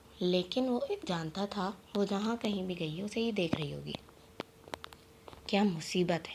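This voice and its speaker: Behind the speech there is noticeable noise, and the pitch varies in an ordinary way. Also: woman. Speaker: audiobook narrator. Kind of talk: novel reading.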